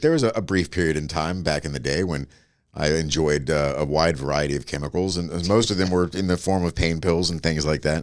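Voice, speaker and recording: A man's very deep, low voice with an animated tone, fairly quick pace and ordinary pitch variation. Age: 50s. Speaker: podcast guest. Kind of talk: casual chat. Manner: animated storytelling.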